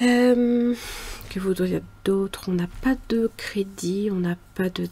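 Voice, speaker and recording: A soft-spoken woman talks at a very slow pace with fairly even intonation. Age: 40s. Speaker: budgeting YouTuber. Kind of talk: casual budget vlog. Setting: home mezzanine. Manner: hesitant, many fillers.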